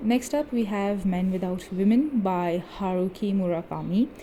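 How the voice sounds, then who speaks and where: A woman speaks at medium pitch and a moderate pace. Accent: non-native. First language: not English. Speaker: book video creator. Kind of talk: bookshelf tour video. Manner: casual, chatty.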